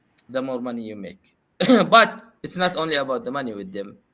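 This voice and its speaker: At a moderate pace, a man speaks with a non-native accent. His tone is bright and sharp. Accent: non-native accent, noted by self. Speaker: podcast host. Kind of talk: casual chat. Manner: hesitant, many fillers.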